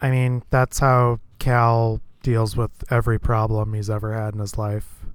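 A man speaks at a medium pitch and a fairly slow pace, with flat, monotone intonation. The recording is very clean, with a silent background. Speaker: podcast co-host. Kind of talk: casual chat.

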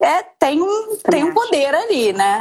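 With a plain, everyday voice, a woman speaks at a moderate pace using lively intonation. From Rio de Janeiro, Brazil. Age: 30s. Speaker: mother, podcast guest. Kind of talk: casual interview chat.

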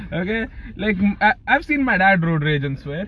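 A man's pitch swings very widely. Noticeable background noise sits behind him. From UAE (Dubai), Pakistani family. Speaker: podcast host, university student. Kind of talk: casual chat. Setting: parked car.

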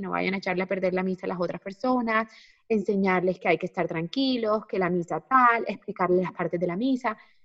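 A woman with an unremarkable speaking voice talks at a fairly quick pace, her pitch varying in an ordinary way. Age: 30s. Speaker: natural family planning consultant and mom influencer. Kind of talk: casual chat.

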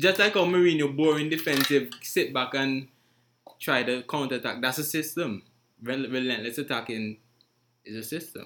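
A man speaks in a normal speaking voice, his pitch fairly high, with ordinary pitch variation at a moderate pace. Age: young. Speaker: podcast host. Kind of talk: casual discussion.

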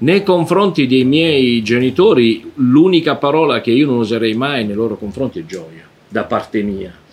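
A man speaks at a moderate pace with hardly any pauses. His medium pitch swings very widely. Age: 60s. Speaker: anthropologist and author. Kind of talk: interview.

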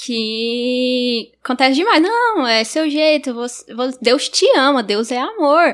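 At a very slow pace, a woman speaks with hardly any pauses. Her pitch is high. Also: ordinary pitch variation. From Gurupi, Tocantins, Brazil. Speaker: youth group music coordinator. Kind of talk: casual chat.

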